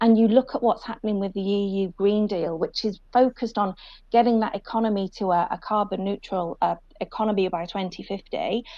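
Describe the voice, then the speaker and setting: A woman's dark, mellow tone with a British accent, fairly even intonation and a fairly quick pace. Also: medium pitch for a woman. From UK. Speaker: sustainability panelist. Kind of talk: panel discussion.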